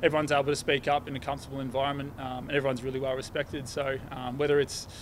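Very fast and monotone, a man with an Australian accent speaks at a fairly high pitch with flat intonation over light background noise. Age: 20s. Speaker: professional Australian rules footballer. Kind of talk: media interview.

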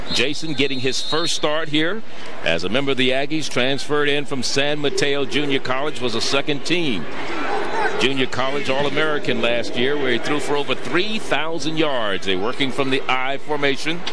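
Over loud background noise, a man with a fairly high pitch and ordinary pitch variation speaks at a moderate pace, his loudness very even and the sound dry with no echo. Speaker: play-by-play sports commentator. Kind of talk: live commentary. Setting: stadium broadcast booth.

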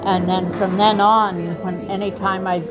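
At a moderate pace, a woman speaks over clear background music. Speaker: pianist and musician. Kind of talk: casual interview answer. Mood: warm reminiscing. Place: hall. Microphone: lapel.

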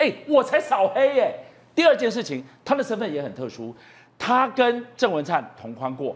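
In a very clean recording with a silent background, a man speaks at a fairly slow pace in an animated tone. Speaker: political talk show host. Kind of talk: political talk show.

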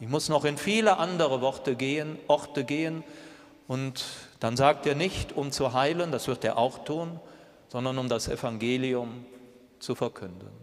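Speaking at a fairly slow pace, a man leaves long, frequent pauses. His pitch is fairly high and varies in an ordinary way. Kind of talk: homily in church, a reflective, earnest sermon with rhetorical questions. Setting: church. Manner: measured, earnest, thoughtful pace; direct address, rhetorical questions to the congregation. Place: church.

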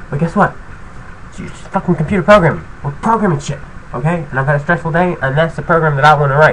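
Over light background noise, a man talks at a very fast pace. His pitch varies in an ordinary way. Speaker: tutorial maker. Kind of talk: casual vlog chat. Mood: irritated, swearing, ranting. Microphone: webcam.

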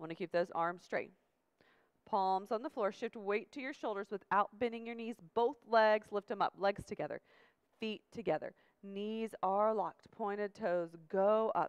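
A woman speaks at a fairly high pitch and moderate pace, with ordinary pitch variation. The background is quiet. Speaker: yoga instructor. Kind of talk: guided yoga class instruction. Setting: video class with demonstrators. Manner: brisk, commanding, rhythmic cueing; calm, directive. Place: gym.

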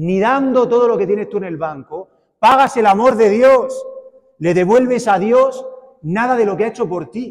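A man with a Spanish accent, extremely high-pitched, in an animated tone with ordinary pitch variation, against a quiet background. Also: moderate pace. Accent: Spanish (Spain). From Spain. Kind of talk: sermon. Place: church.

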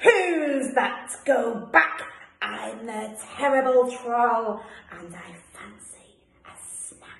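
A put-on character voice at a very slow pace, with slight echo. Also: woman, high pitch for a woman. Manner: grumpy, menacing.

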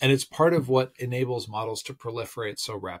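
A somewhat breathy man against a quiet background. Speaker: tech commentator. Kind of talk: casual vlog commentary. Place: home room. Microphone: phone near.

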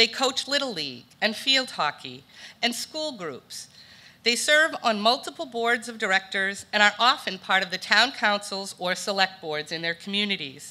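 A woman talks in a bright, sharp tone. She keeps a moderate pace. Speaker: presenter. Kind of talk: prepared award speech. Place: hall. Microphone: podium.

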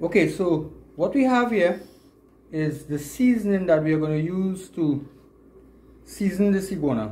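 Speaking with a Trinidadian accent, a man uses a high pitch and a dark, mellow tone, moving at a moderate pace with long, frequent pauses. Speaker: outdoor video creator. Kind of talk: vlog narration and cooking tutorial. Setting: outdoors. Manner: animated. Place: kitchen. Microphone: phone near.

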